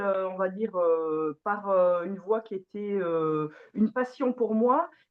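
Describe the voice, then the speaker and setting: Her intonation lively, a woman speaks very slowly. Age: 40s. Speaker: organic farmer. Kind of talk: testimony. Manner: hesitant, many fillers.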